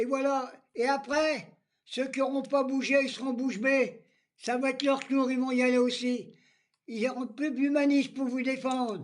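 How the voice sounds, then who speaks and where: Speaking at a fairly slow pace, a man uses an extremely high pitch and a monotone, flat intonation. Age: 80s+. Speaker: political vlogger. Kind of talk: political rant.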